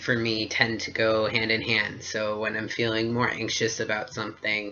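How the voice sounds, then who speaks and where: The voice has a medium pitch. It belongs to a man. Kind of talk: casual talk to camera. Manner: hesitant, many fillers.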